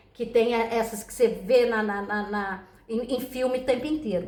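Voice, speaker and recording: A woman's animated, fairly high-pitched voice at a moderate pace, with audible room echo. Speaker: tarot reader. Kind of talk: casual chat. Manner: soft-spoken.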